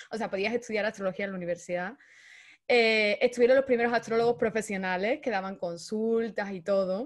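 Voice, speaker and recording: A woman talks at a fairly quick pace in a fairly high voice. Her pitch varies in an ordinary way against a quiet background. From Andalusia, Spain (Seville). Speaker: astrologer and therapist; guest. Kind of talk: interview conversation. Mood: calm, explanatory. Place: home room. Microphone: connection drops out; video call.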